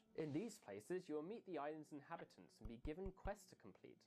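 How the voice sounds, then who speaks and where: A man speaks with vocal fry at a fairly high pitch. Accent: English. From England, countryside. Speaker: game developer describing game idea. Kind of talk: scripted narration.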